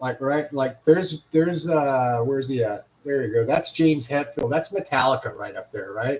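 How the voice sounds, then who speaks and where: The pace is moderate. The voice is a bit breathy and its pitch varies in an ordinary way. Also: man. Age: 60s. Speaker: guitar shop owner and technician. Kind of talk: casual livestream chat. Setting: live video stream. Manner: halting, many fillers and repeats.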